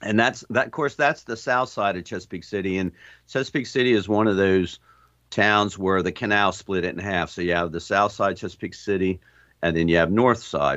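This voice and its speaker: A man with an ordinary speaking voice, fairly low pitch, ordinary pitch variation and a fairly quick pace against a quiet background. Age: 60s. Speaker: sailor. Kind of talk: interview. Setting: video call.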